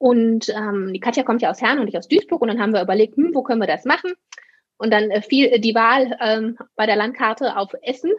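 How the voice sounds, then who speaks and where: This is a normal speaking voice. A woman talks at a fairly quick pace in a fairly high voice with ordinary pitch variation. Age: 30s. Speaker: occupational therapist and practice owner. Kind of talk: casual interview.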